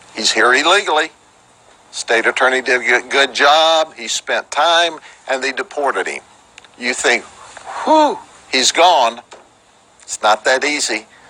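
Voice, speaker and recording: A man with a Central Florida accent, fairly high pitch and ordinary pitch variation, long, frequent pauses, and noticeable background noise. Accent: Polk County Florida southern. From Florida, Polk County. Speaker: sheriff. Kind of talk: press conference. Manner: animated.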